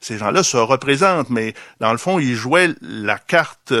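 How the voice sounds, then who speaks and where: A man's voice with a bright, sharp tone comes through a very clean recording with a silent background and a dry, close sound free of echo. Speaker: philosopher and author. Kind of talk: public debate. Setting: bookstore event with audience.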